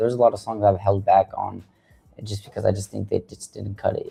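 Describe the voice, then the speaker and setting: A man with an American accent, music playing in the background. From Washington State, Tacoma and Seattle. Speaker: rapper. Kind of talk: interview. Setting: studio.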